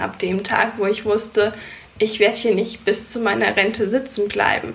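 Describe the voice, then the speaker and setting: Speaking at a fairly slow pace, a woman with a fairly high pitch uses a monotone, flat intonation over noticeable background noise. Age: 20s. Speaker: photographer and business coach. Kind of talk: interview.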